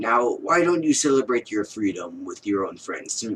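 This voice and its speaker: Here a man puts on a character voice at a medium pitch. He keeps a moderate pace. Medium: read story. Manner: gruff, curt.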